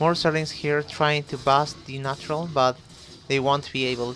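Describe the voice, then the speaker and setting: With a Spanish accent, the speaker talks at a fairly slow pace while music plays in the background. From Chile. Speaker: esports caster. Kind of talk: live commentary. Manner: halting, many fillers.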